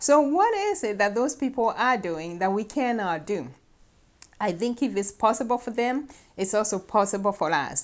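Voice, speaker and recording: Fairly high-pitched, a woman uses lively intonation. She has a plain, everyday voice. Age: 50s. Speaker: nurse practitioner and health talk host. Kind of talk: talk to camera on faith and health.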